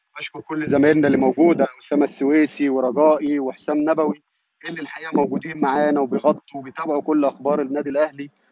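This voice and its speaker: A man speaks at a fairly quick pace with a fairly high pitch, over noticeable background noise. The sound is dry, with no echo. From Egypt. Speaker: sports reporter. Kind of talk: live commentary. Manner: animated. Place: stadium. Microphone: phone near.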